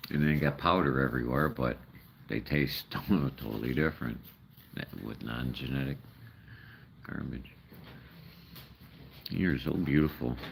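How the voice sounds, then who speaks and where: Fairly slow speech in an American accent, ordinary pitch variation, long and frequent pauses. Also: man, very deep, low pitch for a man. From Chicago, US Midwest. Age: 60s. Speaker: live streamer feeding raccoons. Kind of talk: casual live-stream chat. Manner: rambling, halting.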